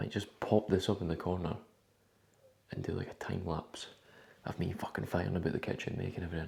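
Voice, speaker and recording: A man with a Scottish accent speaks at a fairly quick pace. His voice is somewhat breathy, with fairly even intonation. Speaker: bodybuilder vlogger. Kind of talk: casual vlog. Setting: at home in kitchen. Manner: whispering.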